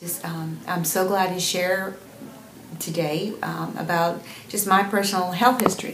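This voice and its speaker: Moderately paced, a woman's medium-pitched voice has fairly even intonation, heard with audible room echo and noticeable background noise. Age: 60s. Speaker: patient giving a testimonial. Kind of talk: testimony. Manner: halting, with many fillers.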